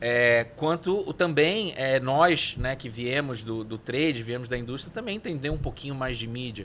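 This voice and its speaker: With lively intonation, a man's medium-pitched voice moves at a moderate pace. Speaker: neuromarketing consultant. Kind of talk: podcast interview. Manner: hesitant, many fillers.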